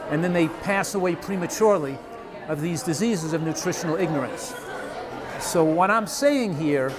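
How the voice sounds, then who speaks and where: Pitched high for a man, he talks at a fairly quick pace with ordinary pitch variation. Audible room echo and crowd noise fill the background. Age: 70s. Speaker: physician and nutrition author. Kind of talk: interview.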